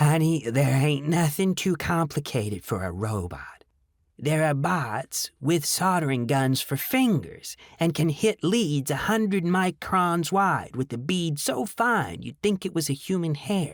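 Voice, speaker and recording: In a very clean recording with a silent background, a man does a croaky, put-on character voice at a fairly high pitch. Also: fairly slow pace. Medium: read story. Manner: blunt, curt.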